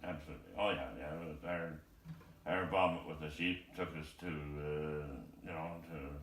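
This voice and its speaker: A man with a very deep, low voice and vocal fry talks at a moderate pace with fairly even intonation. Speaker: retired farmer and amateur guitarist. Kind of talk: casual conversation with a relative, filmed at home.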